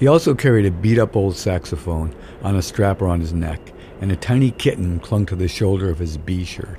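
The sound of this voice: Ordinary pitch variation in an unforced voice reading aloud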